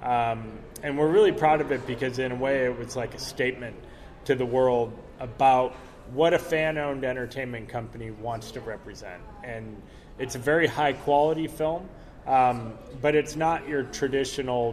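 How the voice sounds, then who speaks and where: A man with a plain, everyday voice talks at medium pitch and a moderate pace, his intonation fairly even. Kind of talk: interview, casual chat. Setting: convention, recorded at a comic con.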